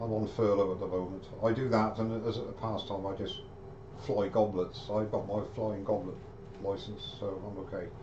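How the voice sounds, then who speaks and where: Over noticeable background noise, a man with a British accent speaks at a moderate pace in a fairly low pitch with monotone, flat intonation. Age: 60s. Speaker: woodturner; woodturner live streamer. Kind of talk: live-streamed woodturning tutorial. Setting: live stream video. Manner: chatty, friendly. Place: workshop. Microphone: webcam.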